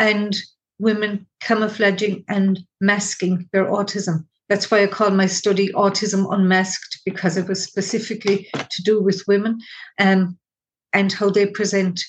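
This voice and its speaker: The intonation is monotone and flat, and the voice is somewhat breathy. The background is quiet. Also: woman, medium pitch for a woman, moderate pace. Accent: Irish. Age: 60s. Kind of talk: interview.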